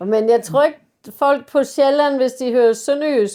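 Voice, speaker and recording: Speaking at a fairly slow pace, the woman has a high pitch and fairly even intonation. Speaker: parish priest. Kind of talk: interview answer.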